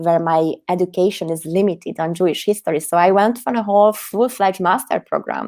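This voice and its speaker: A woman's medium-pitched voice with ordinary pitch variation, on a very clean recording with a silent background. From Hungary. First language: Hungarian. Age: 30s. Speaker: activist. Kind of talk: interview. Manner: animated.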